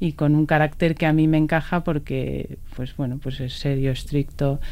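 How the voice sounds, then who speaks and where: This woman has a very deep, low pitch. She talks at a fairly slow pace. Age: 40s. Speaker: cyclist. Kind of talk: interview. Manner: halting.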